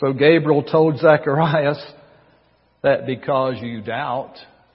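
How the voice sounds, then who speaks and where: At a very slow pace, a man with a Southern US accent speaks at a fairly high pitch with vocal fry. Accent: Southern American. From US South, North Carolina. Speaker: pastor. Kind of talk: sermon.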